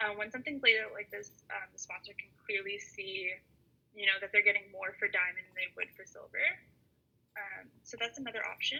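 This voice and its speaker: Speaking fairly quickly, a woman gets much louder and softer from moment to moment. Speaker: workshop presenter. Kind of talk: online workshop presentation. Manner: fast; hesitant, many fillers.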